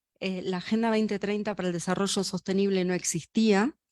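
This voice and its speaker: A woman speaks at a medium pitch and moderate pace in a monotone, flat intonation. The sound is dry and close with no echo, in a very clean recording with a silent background. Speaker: UN official. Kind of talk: inaugural speech.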